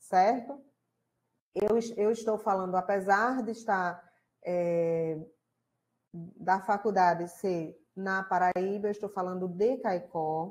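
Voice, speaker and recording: A woman with a Rio Grande do Norte accent talks at a very slow pace in a dark, mellow tone. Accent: Rio Grande do Norte (northeastern Brazilian). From Rio Grande do Norte, Brazil. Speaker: college lecturer and tutor. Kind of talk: online class live stream welcome. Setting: live stream online class. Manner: casual, conversational.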